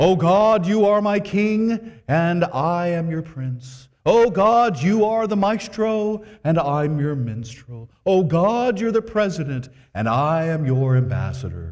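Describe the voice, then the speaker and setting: A put-on character voice is delivered at a fairly slow pace. The pitch swings very widely. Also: man, high pitch for a man. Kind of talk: grand, formal. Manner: pompous, dramatic, with pauses.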